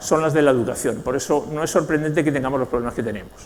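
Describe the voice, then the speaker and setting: There is noticeable background noise as a man talks with a Spanish accent. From Spain, Basque Country (San Sebastián). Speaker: knowledge management consultant and speaker. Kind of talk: conference talk.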